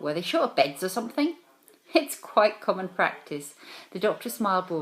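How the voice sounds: The delivery is a natural reading voice.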